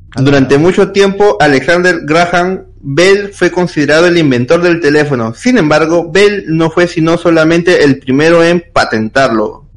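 A man's high-pitched voice with very even loudness and ordinary pitch variation, over noticeable background noise. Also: moderate pace, hardly any pauses. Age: 20s. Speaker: podcast co-host. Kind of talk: reading aloud.

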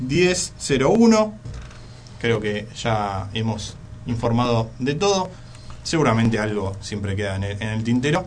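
Speaking very slowly at a medium pitch, a man sounds somewhat breathy, with lively intonation and audible room echo. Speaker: radio host. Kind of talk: radio sports talk show. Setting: radio studio.

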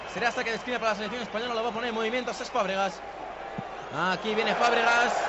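Over noticeable background noise, a man speaks very fast in an animated tone at an extremely high pitch. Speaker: football commentator. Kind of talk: live football commentary. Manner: animated, fast play-by-play delivery.

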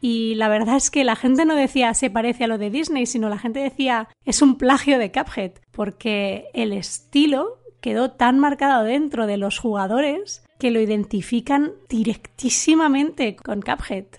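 A woman with a high voice speaks at a fairly slow pace, with ordinary pitch variation and hardly any pauses, against a quiet background. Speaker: tech writer and author. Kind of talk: recorded commentary.

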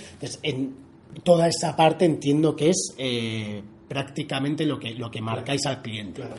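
A man with a normal speaking voice talks at a fairly high pitch, with big swings in loudness. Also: ordinary pitch variation, moderate pace. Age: 30s. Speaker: podcast host. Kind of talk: casual interview. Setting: guest's office.

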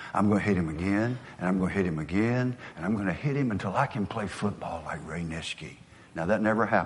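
Someone with a Southern US accent speaks at a very fast pace with ordinary pitch variation. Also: man, fairly low pitch for a man. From US South. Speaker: motivational speaker. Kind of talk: motivational speech.

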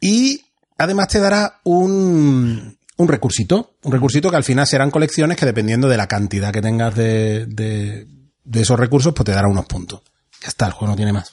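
Somewhat breathy and medium in pitch, a man talks at a moderate pace with very wide pitch swings. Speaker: board game podcast host. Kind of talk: game rules explanation; casual chat.

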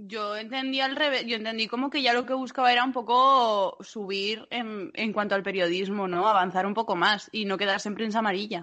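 A woman with a plain, everyday voice talks at a fairly quick pace with ordinary pitch variation and hardly any pauses. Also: fairly high pitch for a woman. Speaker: podcast co-host, dreadlock maker. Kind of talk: casual chat.

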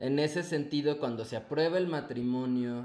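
Audible room echo around a man's fairly high-pitched voice. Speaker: adoptive father. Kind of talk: casual interview chat.

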